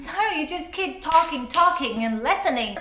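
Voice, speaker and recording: A woman's raised, projected voice with very wide pitch swings, heard with audible room echo. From Taiwan. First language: Mandarin. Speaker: YouTuber. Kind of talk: motivational vlog talk. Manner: animated.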